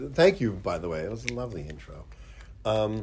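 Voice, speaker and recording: Somewhat breathy, a man with an American accent speaks with very wide pitch swings. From Pittsburgh, US. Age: 50s. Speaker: special effects artist. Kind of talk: casual interview chat. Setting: studio.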